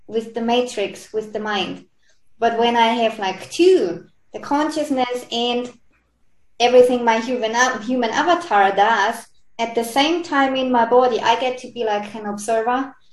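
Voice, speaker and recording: This woman talks at a moderate pace with a fairly high pitch and ordinary pitch variation. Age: 40s. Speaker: spiritual coach. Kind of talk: interview. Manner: halting.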